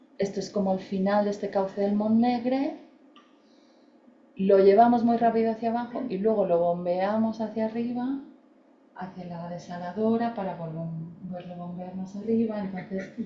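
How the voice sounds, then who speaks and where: A woman with an eastern Spanish accent, medium in pitch, with ordinary pitch variation, big swings in loudness, a moderate pace and audible room echo. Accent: Spanish (peninsular, eastern Spain). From Spain. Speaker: landscape architect and researcher. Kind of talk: lecture. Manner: hesitant, with fillers.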